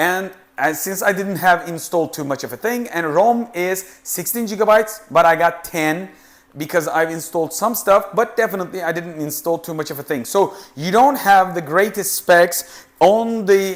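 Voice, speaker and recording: A man speaks at a high pitch with a non-native accent. His pace is moderate. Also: ordinary pitch variation. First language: not English. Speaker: tech reviewer. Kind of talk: product review tutorial. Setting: studio. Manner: halting.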